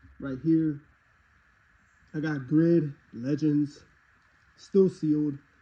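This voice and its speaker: Fairly high-pitched and somewhat breathy, the man's voice has a dark, mellow tone and fairly even intonation. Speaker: game collector YouTuber. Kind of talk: casual talk to camera.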